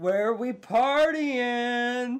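A put-on character voice at a fairly high pitch. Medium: actual play. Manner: energetic, exclamatory.

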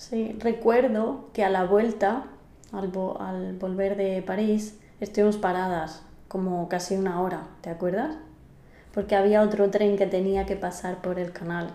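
A woman at a fairly slow pace with fairly even intonation, audible room echo around her. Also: medium pitch for a woman. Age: 30s. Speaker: podcast host, Spanish teacher. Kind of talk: casual chat, language-learning conversation.

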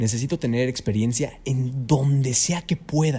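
With music in the background, a man speaks with a Mexican accent and lively intonation. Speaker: voice actor and announcer. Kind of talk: interview. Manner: clear diction.

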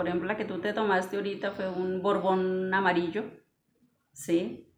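Her voice carries audible room echo. The speaker is a woman. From Vélez, Santander, Colombia. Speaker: coffee shop owner, coffee grower. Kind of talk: casual interview. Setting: coffee shop.

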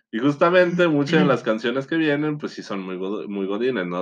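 A man speaks in a Mexican accent. His intonation is lively. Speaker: podcast co-host. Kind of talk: casual chat.

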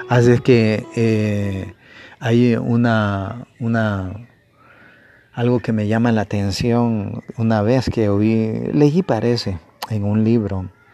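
Very slow speech from a man at medium pitch, dark and mellow in tone, with fairly even intonation. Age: 50s. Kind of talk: sermon. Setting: home broadcast. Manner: halting.

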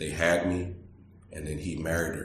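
Audible room echo surrounds a man's very deep, low, somewhat breathy voice. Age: 40s. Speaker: city manager. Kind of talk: casual interview.

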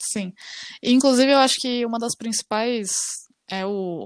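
A woman's normal speaking voice, a normal speaking voice at a fairly slow pace with ordinary pitch variation, dry and close with no echo in a very clean recording against a silent background. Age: 20s. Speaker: podcast co-host. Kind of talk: casual chat.

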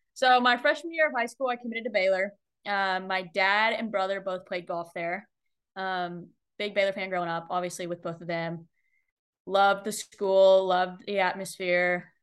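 The speaker has an unremarkable speaking voice, ordinary pitch variation, and a moderate pace. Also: woman, medium pitch for a woman. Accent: American. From Texas, Austin. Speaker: college golfer. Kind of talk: interview.

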